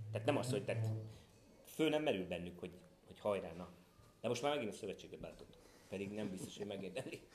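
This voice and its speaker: A man with a fairly low pitch talks at a very fast pace, with long, frequent pauses and big swings in loudness. Music plays in the background, and room echo is audible. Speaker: parent of a golfer, golf commentator. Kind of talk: interview. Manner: animated, repetitive false starts.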